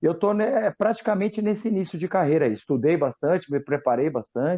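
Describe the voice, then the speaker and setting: With an unremarkable speaking voice, a man talks at a fairly quick pace and uses lively intonation. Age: 40s. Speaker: football coach, former goalkeeper. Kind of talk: interview.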